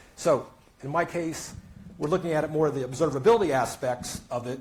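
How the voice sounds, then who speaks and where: There is audible room echo as a man speaks in a fairly high pitch with a somewhat breathy sound. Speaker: tech analyst. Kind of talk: conference talk. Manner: halting, many fillers.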